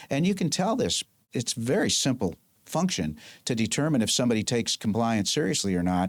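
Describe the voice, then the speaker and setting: A man at a medium pitch in a very clean recording with a silent background. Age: 70s. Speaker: lawyer and former marine. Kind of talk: interview. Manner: animated.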